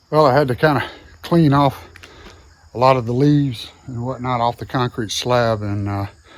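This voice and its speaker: With a Southern US accent, a man talks at a medium pitch and a fairly quick pace, his intonation fairly even. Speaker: DIY video host. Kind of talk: casual vlog narration. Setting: outdoors by a barn. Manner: casual, with frequent fillers.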